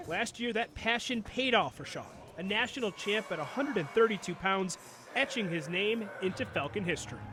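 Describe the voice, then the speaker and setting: In an American accent, a man with a high pitch speaks at a moderate pace in a raised, projected voice with lively intonation. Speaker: sports anchor and reporter. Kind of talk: TV feature story voiceover.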